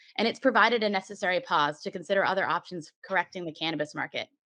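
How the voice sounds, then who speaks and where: A woman at a very fast pace, medium pitch and ordinary pitch variation, in a dry, close sound with no echo and a quiet background. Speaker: cannabis industry association representative giving public comment. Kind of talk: prepared statement at public meeting.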